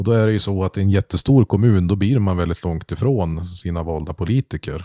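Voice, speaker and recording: A man with a very deep, low pitch and a dark, mellow tone speaks at a fairly quick pace in a very clean recording with a silent background. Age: 30s. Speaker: podcast host, local politician. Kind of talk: casual chat.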